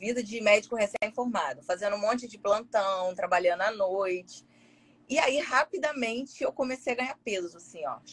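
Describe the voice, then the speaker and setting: Speaking at a moderate pace, a woman sounds somewhat breathy and uses lively intonation. Her loudness swings widely. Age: 40s. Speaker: gastroenterologist. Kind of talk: casual interview.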